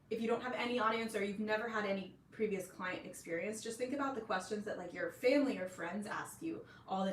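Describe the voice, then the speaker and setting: There is noticeable background noise and audible room echo. A woman talks at a very fast pace with a fairly high pitch. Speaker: online business coach for nutrition professionals. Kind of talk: live stream tutorial. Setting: live stream. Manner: casual, filler-heavy.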